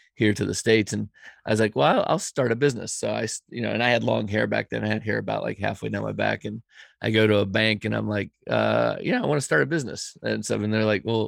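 A man with an American accent at a very fast pace, in a dry, close sound with no echo. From mixed US and Europe upbringing (West Virginia family, grew up in Europe). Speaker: entrepreneur. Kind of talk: interview. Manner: hesitant, many fillers.

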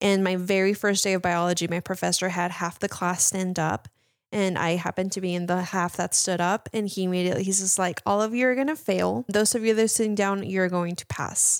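A woman with a Spanish accent talks at a fairly quick pace and medium pitch. The sound is dry and close, with no echo. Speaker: mental health counselor. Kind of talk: casual chat.

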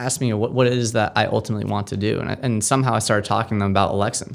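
A man with fairly even intonation. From Massachusetts, Amherst. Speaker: nonprofit founder. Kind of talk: interview. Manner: halting.

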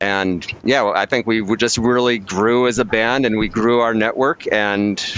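Pitched in the medium range, a man with an ordinary speaking voice talks with fairly even intonation. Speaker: musician. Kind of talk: casual chat. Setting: video call.

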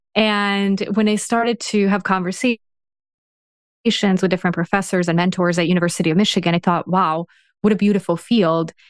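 With an American accent, a woman speaks in an unremarkable speaking voice at a medium pitch, with fairly even intonation and very even loudness, in a dry, close recording with no echo. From Serbia, raised in the US from age 12. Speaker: organisational psychologist and executive. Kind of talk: interview.

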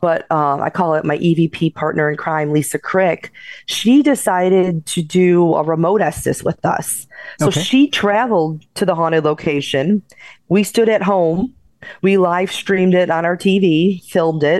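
In an ordinary speaking voice, a woman with an American accent talks fairly low and at a fairly slow pace. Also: ordinary pitch variation. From Chicago South Side. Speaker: paranormal investigator and author. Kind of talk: interview.

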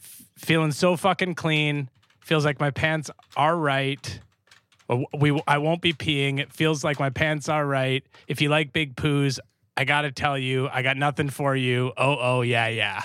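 With a Canadian accent, this man has a fairly high pitch, a bright, sharp tone and fairly even intonation, speaking at a fairly slow pace on a very clean recording with a silent background. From Canada. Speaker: comedian. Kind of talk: casual chat.

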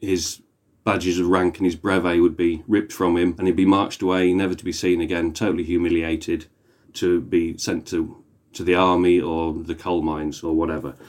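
This man has a very deep, low voice and a British accent. He speaks fairly quickly in a flat monotone. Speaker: historian. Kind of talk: casual chat.

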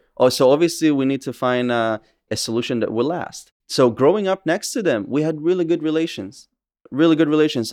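A man with an Israeli accent, fairly high in pitch, with lively intonation and a fairly quick pace against a quiet background. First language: Hebrew. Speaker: social media activist. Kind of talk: interview conversation. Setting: cafe.

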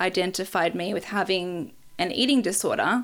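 A woman's medium-pitched voice with vocal fry and an Australian accent, fairly slow, with ordinary pitch variation, on a very clean recording with a silent background. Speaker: podcast host and memoir author, daughter. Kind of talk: casual interview chat with her mother.

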